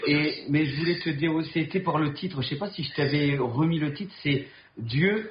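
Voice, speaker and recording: Speaking with a northern French accent, a man with a fairly high pitch goes at a fairly slow pace with ordinary pitch variation. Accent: Ch'ti (northern French). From Nord, northern France. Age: 40s. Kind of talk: casual conversation. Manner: outspoken, frank.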